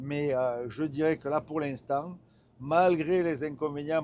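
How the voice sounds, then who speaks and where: Speaking at a very slow pace is a man. His pitch moves in an ordinary way. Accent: strong northern French. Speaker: truck test driver and reviewer. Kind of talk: live driving review commentary. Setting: in a truck cab while driving. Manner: hesitant, many fillers and repetitions.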